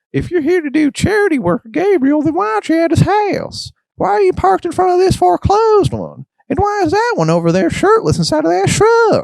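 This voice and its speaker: A man puts on a character voice, pitched extremely high. He talks at a fairly quick pace. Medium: solo performance. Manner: rambling, chatty.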